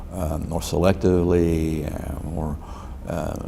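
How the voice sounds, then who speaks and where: Amid noticeable background noise and audible room echo, a man with an American accent speaks in a very deep, low pitch with fairly even intonation. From Texas, Dallas. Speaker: lawyer. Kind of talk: oral history interview. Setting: library room. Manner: halting.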